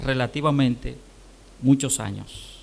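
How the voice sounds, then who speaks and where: This man's voice has a bright, sharp tone. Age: 60s. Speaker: pastor. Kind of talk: sermon.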